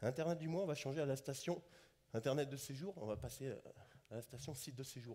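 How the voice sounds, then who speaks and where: A man talks at a very fast pace with long, frequent pauses, his fairly high, somewhat breathy voice dark and mellow in tone with ordinary pitch variation. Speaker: conference speaker on digital tourism. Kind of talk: conference talk.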